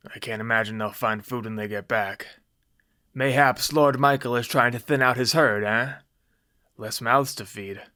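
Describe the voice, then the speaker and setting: A man uses a put-on character voice, raspy and medium in pitch, at a moderate pace with fairly even intonation. The recording is very clean, with a silent background. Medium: read story. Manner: gruff, blunt.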